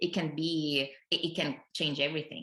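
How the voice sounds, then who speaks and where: The voice has a bright, sharp tone with vocal fry and moves at a moderate pace. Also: woman. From Italy. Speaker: speech and language therapist, PhD researcher. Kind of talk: podcast interview.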